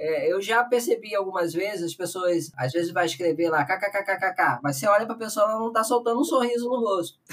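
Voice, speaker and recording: A high-pitched man at a fairly quick pace with lively intonation, amid noticeable background noise. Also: hardly any pauses. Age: 40s. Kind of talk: casual chat.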